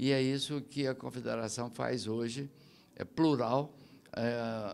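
This man's voice sits at a mid-range pitch. He speaks extremely slowly. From Brazil. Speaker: business support agency head. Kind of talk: interview. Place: hall. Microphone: handheld.

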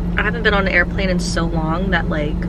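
The sound is dry with no echo. Loud background noise runs throughout. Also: woman. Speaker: vlogger. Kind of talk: casual vlog chat. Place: car. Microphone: phone near.

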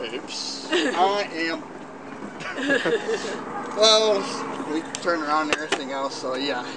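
Against loud background noise, a man talks at a fairly slow pace. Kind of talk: casual storytelling. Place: forest.

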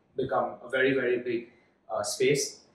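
A man talks at a moderate pace. There is audible room echo. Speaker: startup founder; guest. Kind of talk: interview. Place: studio.

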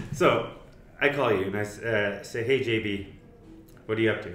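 With light background noise and audible room echo, a man talks at a fairly low pitch. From East Africa. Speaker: mental health campaign founder, podcast host; podcast guest. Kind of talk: casual interview chat. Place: meeting room.

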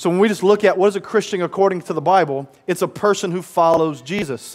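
Words come from this man at a very fast pace. Ordinary pitch variation runs through them. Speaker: pastor preaching. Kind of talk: sermon. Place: church. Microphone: headset.

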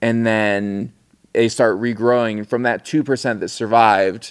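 At a moderate pace, a man speaks with medium pitch against a quiet background. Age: 30s. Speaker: filmmaker and photographer; interview guest. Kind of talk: casual chat. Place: studio. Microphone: studio mic.

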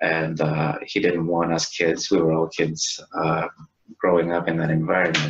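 He is a man with a very deep, low pitch. His pace is moderate. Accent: Spanish. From Chile. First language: Spanish. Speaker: IT worker and spiritual guest; guest. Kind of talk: interview. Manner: halting. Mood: calm, reflective. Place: home room. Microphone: webcam.

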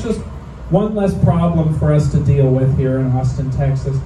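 A man speaks at a moderate pace with ordinary pitch variation over noticeable background noise. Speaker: stand-up comedian. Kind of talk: stand-up comedy set. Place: bar.

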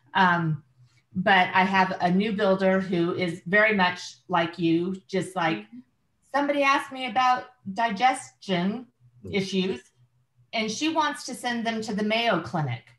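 Audible room echo surrounds a woman speaking at a fairly slow pace with long, frequent pauses. Her intonation is lively. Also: quiet background. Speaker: workshop participant. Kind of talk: casual group discussion. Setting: video call. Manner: enthusiastic. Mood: enthusiastic, persuasive. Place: home room. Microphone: video call.

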